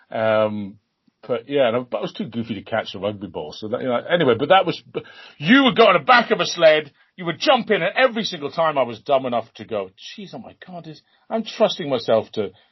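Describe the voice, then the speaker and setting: A man speaks at a fairly quick pace with a fairly high pitch and vocal fry. His voice shows very wide pitch swings and big swings in loudness. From Britain. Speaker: sports commentator. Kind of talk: interview answer. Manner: casual, rambling.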